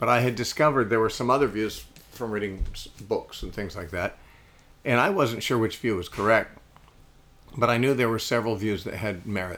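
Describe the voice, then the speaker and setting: Talking at a fairly quick pace with long, frequent pauses, a man uses a medium pitch and ordinary pitch variation. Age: 60s. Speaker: radio host and Bible teacher. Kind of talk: interview. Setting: living room.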